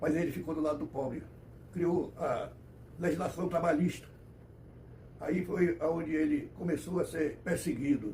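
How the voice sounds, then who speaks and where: Audible room echo comes through as a man speaks at a fairly high pitch. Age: 90s. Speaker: elderly commentator on history. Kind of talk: personal history monologue. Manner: halting, self-correcting.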